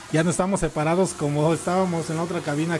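A fairly high-pitched man with a Mexico City accent speaks at a very fast pace over noticeable background noise. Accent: Mexico City Spanish (chilango). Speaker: radio host. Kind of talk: casual chat. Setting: studio. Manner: animated.

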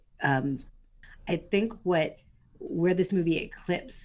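Her fairly low pitch carries lively intonation as this woman speaks at a fairly slow pace. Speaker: podcast co-host. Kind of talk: casual chat.

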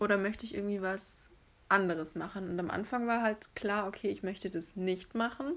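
A woman uses a normal speaking voice at a moderate pace. Her pitch is medium, with ordinary pitch variation. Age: 20s. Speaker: podcast co-host, former law student. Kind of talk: casual chat.

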